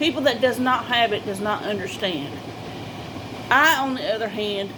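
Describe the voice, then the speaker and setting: Lively intonation carries speech at a moderate pace. There is audible room echo along with noticeable background noise. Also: woman. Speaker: vlogger. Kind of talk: personal talk to camera. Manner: halting, repetitive.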